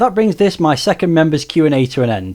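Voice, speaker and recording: In a very clean recording with a silent background, a man with a Stoke accent speaks in a high pitch with a dark, mellow tone. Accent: Stoke (Potteries). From Stoke-on-Trent, England. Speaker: retro game YouTuber. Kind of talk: Q&A video monologue.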